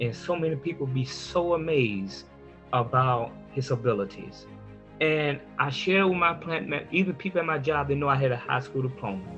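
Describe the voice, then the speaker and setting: There is music in the background. A man with a fairly high pitch speaks at a moderate pace with lively intonation. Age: 50s. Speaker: adult learner working toward a high school diploma, church minister. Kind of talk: personal story told to camera.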